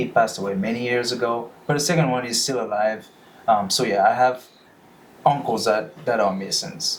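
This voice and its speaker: Over noticeable background noise, a man with a West African accent talks at a moderate pace in a medium pitch. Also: ordinary pitch variation. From Benin. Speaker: freemason, lodge officer. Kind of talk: casual podcast interview.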